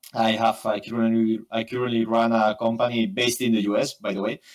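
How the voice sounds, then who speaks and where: This man's pitch is medium. He talks with a Spanish accent. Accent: Spanish accent, imperfect English. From Spain, Barcelona. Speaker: photographer and software engineer. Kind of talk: interview. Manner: fast; halting, many fillers.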